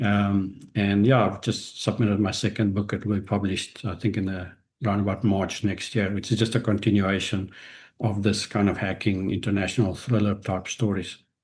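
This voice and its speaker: Somewhat breathy and monotone, a man speaks at a moderate pace with a fairly low pitch and flat intonation. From South Africa. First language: Afrikaans. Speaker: business executive and author. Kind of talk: podcast interview. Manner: halting.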